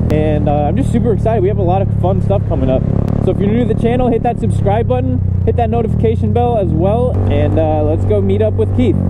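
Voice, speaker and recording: A man rattles along at a very fast pace while loud noise fills the background. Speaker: motovlogger. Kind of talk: casual vlog chat. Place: motorbike. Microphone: helmet.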